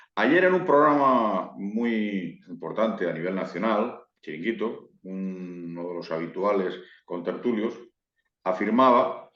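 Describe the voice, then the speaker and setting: A man at a very slow pace with a fairly low pitch, in audible room echo. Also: ordinary pitch variation. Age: 60s. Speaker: football YouTuber. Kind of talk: interview.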